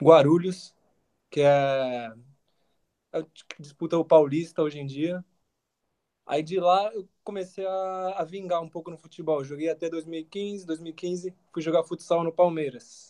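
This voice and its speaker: A man speaks at a fairly slow pace, high-pitched for a man, with a dark, mellow tone and fairly even intonation. His loudness swings widely, and he leaves long, frequent pauses. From São Paulo, Brazil. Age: 20s. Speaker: university student and footballer. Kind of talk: casual interview.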